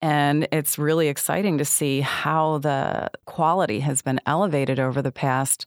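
With an American accent, a woman talks at a fairly slow pace in a very deep, low voice, her sound dry and close with no echo on a very clean recording over a silent background. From US Northeast, upstate New York. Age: old. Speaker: film critic. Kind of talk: casual chat.

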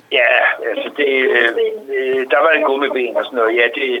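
This is a man's voice. He keeps a moderate pace. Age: 60s. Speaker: retiree telling a story. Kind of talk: anecdote in casual chat. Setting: phone call.

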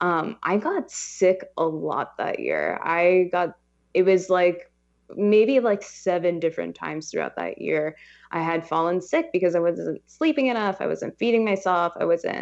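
Against a quiet background, a woman with a Californian accent speaks at a fairly slow pace. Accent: Californian American. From Los Angeles. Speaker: startup founder. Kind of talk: interview.

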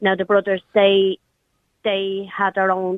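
The speaker has an Irish accent and keeps a moderate pace. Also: woman. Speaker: radio caller. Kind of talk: phone-in conversation. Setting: phone call.

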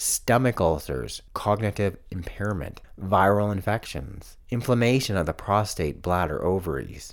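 A man with a fairly low pitch and vocal fry speaks at a fairly slow pace, with ordinary pitch variation. He leaves hardly any pauses. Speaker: veterinarian podcast host. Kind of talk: solo educational podcast monologue.

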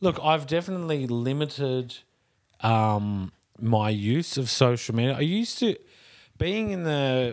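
Recorded very cleanly against a silent background, a man with an Australian accent talks at a moderate pace with lively intonation. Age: 30s. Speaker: movement and fitness practitioner. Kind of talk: casual chat.

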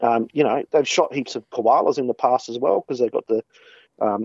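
Speaking fairly quickly with fairly even intonation, a man talks with an Australian accent. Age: 30s. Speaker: hunter and shooting blogger. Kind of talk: casual interview.

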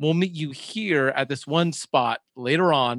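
The man has an American accent, recorded in a dry, close sound with no echo. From Southern California. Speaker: beer podcaster and stay-at-home dad. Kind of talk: casual chat. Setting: video call.

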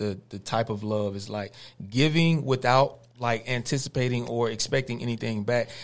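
A man speaks with a Georgia accent. The recording is very clean, with a silent background. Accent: Southern US, Georgia. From US South, Cordele, Georgia. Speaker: hip-hop artist, former college athlete. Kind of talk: radio interview. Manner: halting, many fillers.

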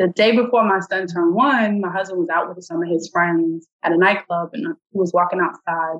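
With an American accent, a woman speaks at a medium pitch and a moderate pace in an unremarkable speaking voice. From New York. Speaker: nonprofit founder and political candidate. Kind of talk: interview.

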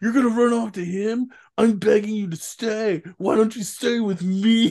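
A man's put-on character voice, high in pitch, at a moderate pace. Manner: whiny, pleading.

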